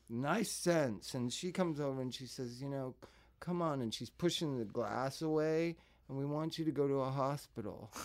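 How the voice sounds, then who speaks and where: An ordinary speaking voice with an American accent and ordinary pitch variation comes through here. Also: man, fairly high pitch for a man, moderate pace. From Los Angeles suburbs. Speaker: singer and drug counselor. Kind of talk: casual chat.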